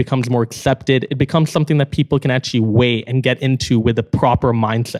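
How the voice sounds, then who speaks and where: Delivered at a very fast pace with hardly any pauses, the speech has fairly even intonation and a slight Canadian accent. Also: man, medium pitch for a man. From Canada. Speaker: startup co-founder. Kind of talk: casual chat.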